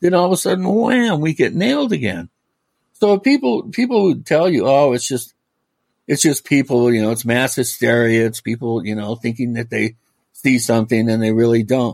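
A man with an American accent talks in an unremarkable speaking voice at a medium pitch. His intonation is lively and his pace moderate. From US Pacific Northwest, Washington State (Medina, near Bellevue). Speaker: author and paranormal researcher. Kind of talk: casual interview.

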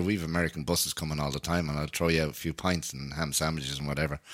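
This man talks with a very deep, low pitch and vocal fry. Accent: Dublin. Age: 30s. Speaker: podcast host and folk musician. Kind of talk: casual chat.

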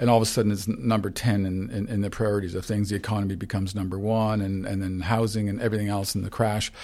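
A man speaks with a Canadian accent at a fairly low pitch, with ordinary pitch variation. The recording is very clean and the background silent. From Canada, St. Catharines, Ontario. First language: Ukrainian. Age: 60s. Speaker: photographer. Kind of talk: interview. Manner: halting.

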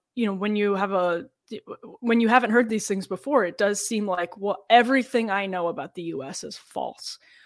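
Recorded very cleanly against a silent background, a woman speaks in an ordinary speaking voice with ordinary pitch variation. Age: 30s. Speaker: political journalist and podcast co-host. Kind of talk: casual chat.

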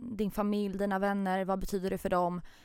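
Talking at a fairly quick pace, a woman holds a medium pitch in monotone, flat intonation. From Stockholm, Hägersten. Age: 20s. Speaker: podcast guest. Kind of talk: casual chat.

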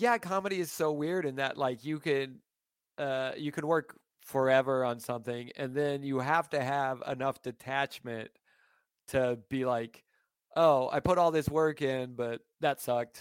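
A man with an unremarkable speaking voice talks at a fairly slow pace in a fairly high pitch with ordinary pitch variation. The recording is very clean with a silent background, dry and close with no echo. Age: 40s. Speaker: stand-up comedian. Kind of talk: casual chat.

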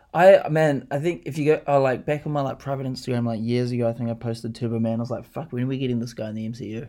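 A man with a New Zealand accent talks very fast at a medium pitch, his dark, mellow tone moving through ordinary pitch variation. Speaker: podcast co-host. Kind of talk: casual chat. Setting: home lounge studio.

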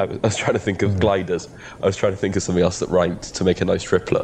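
A man speaks with a slight Welsh accent in a fairly low voice. Background noise is noticeable. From Wales. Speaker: podcast co-host. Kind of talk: casual banter chat. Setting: video call, traveling in the US. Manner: loud speaker.

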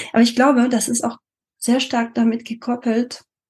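At a moderate pace, a woman speaks with a French accent in a somewhat breathy voice. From France. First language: French (speaking German). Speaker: multilingualism coach. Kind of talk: interview. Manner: hesitant with frequent fillers.

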